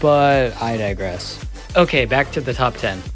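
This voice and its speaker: With an American accent, a man speaks in lively intonation while music plays in the background. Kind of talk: competition results voiceover. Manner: casual, profane.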